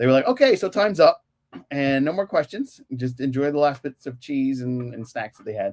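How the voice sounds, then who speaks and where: At a fairly quick pace, a man talks in an unremarkable speaking voice, fairly high-pitched with ordinary pitch variation. The sound is dry and close, with no echo. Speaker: podcast host. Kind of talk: casual podcast conversation.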